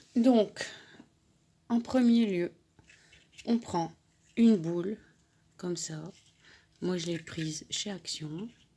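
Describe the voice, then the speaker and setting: A woman speaks very slowly in a dark, mellow tone, with ordinary pitch variation. She leaves long, frequent pauses. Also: medium pitch for a woman. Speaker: crafting YouTuber. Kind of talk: tutorial.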